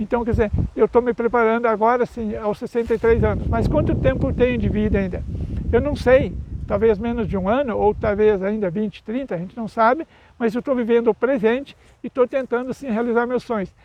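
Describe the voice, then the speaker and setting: Against noticeable background noise, a man with an extremely high pitch talks at a fairly quick pace. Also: fairly even intonation. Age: 60s. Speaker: YouTuber and speaker on mental health. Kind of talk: casual vlog monologue. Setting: outdoors. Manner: halting, with self-corrections.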